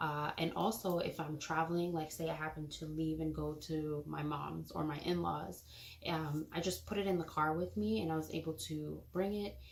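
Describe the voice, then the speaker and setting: Soft-spoken woman at a moderate pace, with noticeable background noise and audible room echo. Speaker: parenting vlogger. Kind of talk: product review vlog. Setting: home nursery. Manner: casual, filler words.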